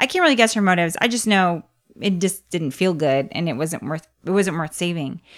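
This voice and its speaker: In a very clean recording with a silent background, a woman uses a normal speaking voice, fairly low in pitch for a woman, with ordinary pitch variation at a fairly quick pace. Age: 40s. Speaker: podcast co-host. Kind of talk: casual chat.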